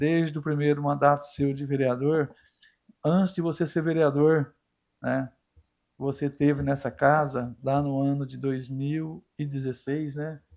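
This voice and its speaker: This man's voice has a dark, mellow tone and a fairly high pitch. His intonation is monotone and flat. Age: 60s. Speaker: city councillor. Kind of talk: council floor speech. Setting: council chamber. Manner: halting, informal.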